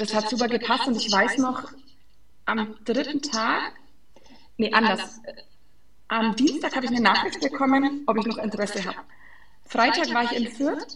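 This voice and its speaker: A woman's high-pitched voice at a moderate pace, with ordinary pitch variation, long, frequent pauses and noticeable background noise. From Franconia, Germany (Fränkisches Seenland). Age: 20s. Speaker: sports physiotherapist. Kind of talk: interview.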